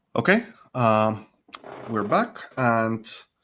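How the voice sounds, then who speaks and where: A man's voice over a quiet background. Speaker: online training presenter. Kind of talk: online presentation.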